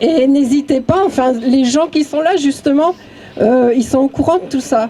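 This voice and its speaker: Over noticeable background noise, a woman speaks fairly slowly in a high voice with ordinary pitch variation. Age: 60s. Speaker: activist speaking at memorial. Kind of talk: public speech at vigil. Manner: halting.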